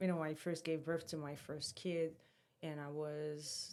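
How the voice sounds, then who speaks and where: A woman speaks in a very deep, low pitch with a strong non-native accent. Her intonation is flat and monotone, and her pace fairly slow. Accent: strong foreign. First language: French or Portuguese. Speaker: fitness influencer and podcast co-host. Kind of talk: casual chat.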